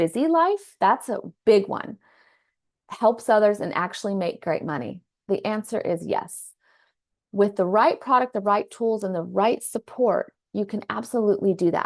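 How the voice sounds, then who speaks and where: A woman with an American accent talks at a moderate pace and medium pitch, with vocal fry. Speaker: psychologist and wellness business coach. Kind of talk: business presentation. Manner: hesitant with many fillers.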